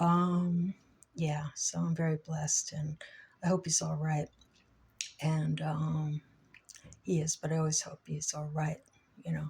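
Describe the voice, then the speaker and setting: Her voice is very deep and low, somewhat breathy and monotone with flat intonation. This woman leaves long, frequent pauses. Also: fairly slow pace. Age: 60s. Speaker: vlogger. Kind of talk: personal vlog monologue. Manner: halting, many fillers.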